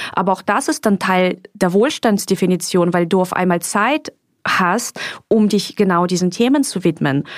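A woman speaks at a moderate pace in a normal speaking voice, medium in pitch. Her intonation is lively and her loudness very even. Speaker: podcast host and author. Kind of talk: guided meditation; casual chat. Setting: recorded in Mallorca.

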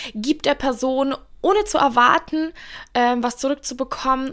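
A woman's animated tone comes through on a very clean recording with a silent background. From Bavaria, Germany (Russian-German community). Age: 20s. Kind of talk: casual Q&A monologue. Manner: talkative, animated.

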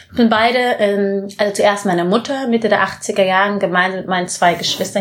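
Against noticeable background noise, a woman talks at a moderate pace and medium pitch, her intonation fairly even. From Bavaria, Munich area. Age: 20s. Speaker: social entrepreneur, former model. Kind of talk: interview. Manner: halting.

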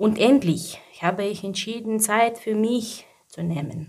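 A woman's very slow speech with a non-native accent and ordinary pitch variation. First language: not German (speaking German). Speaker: mother and job seeker. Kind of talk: personal testimony. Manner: halting.

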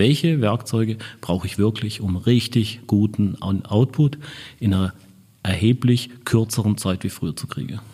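A man's somewhat breathy, dark, mellow voice at a fairly slow pace with ordinary pitch variation. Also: fairly low pitch for a man. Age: 50s. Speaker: marketing director. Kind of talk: interview. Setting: in person at an agency office.

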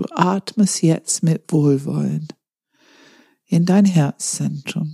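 A woman's fairly low, dark and mellow voice, calm and soothing, somewhat breathy, with fairly even intonation, a very slow pace, long and frequent pauses, and a dry, close sound with no echo. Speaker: meditation guide. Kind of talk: guided meditation. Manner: slow, calm, soothing, with long pauses; gentle instructive cues, second person.

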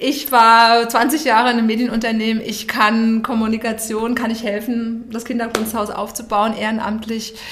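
Amid noticeable background noise and audible room echo, a woman speaks with monotone, flat intonation and hardly any pauses. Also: fairly high pitch for a woman, moderate pace. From Hesse, Germany. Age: 50s. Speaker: communications and branding entrepreneur. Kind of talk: podcast interview. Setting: podcast studio.

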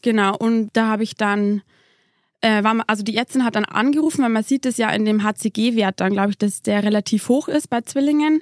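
A fairly high-pitched woman's voice with ordinary pitch variation and very even loudness, very cleanly recorded against a silent background, dry and close with no echo. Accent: Bavarian. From Lower Bavaria. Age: 20s. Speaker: mother, former nurse. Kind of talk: interview testimony. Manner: hesitant with many fillers.

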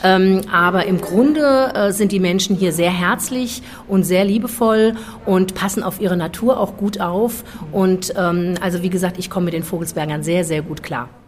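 At a moderate pace and with ordinary pitch variation, the voice comes through over noticeable background noise. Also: woman, medium pitch for a woman. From Frankfurt, Germany. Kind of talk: interview.

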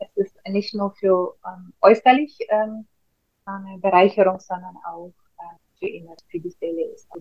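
Loudness swings widely as a woman speaks very slowly with medium pitch, fairly even intonation and a somewhat breathy sound. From Russia. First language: Russian (speaking German). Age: 40s. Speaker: face yoga trainer. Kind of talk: casual interview.

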